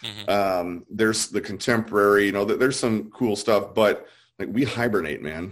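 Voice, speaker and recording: With an American accent and an unremarkable speaking voice, a man talks at a moderate pace and fairly low pitch with ordinary variation, on a very clean recording with a silent background. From US South. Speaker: artist.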